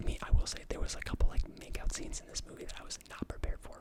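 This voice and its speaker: Someone whispers at a very fast pace. Noticeable background noise sits behind the voice. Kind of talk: ASMR whisper ramble, casual movie review talk to camera. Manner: whispered, soft-spoken, rambling with filler words.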